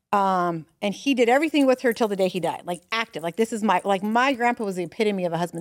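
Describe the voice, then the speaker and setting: A woman at a very fast pace, medium pitch and animated tone, ordinary pitch variation, dry, close sound with no echo, very clean recording with a silent background. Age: 40s. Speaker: podcast co-host. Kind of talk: casual chat.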